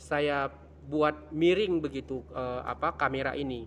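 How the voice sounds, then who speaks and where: A man talks at a very slow pace. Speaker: vlogger. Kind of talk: casual vlog monologue. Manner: halting, many fillers; loud, projected.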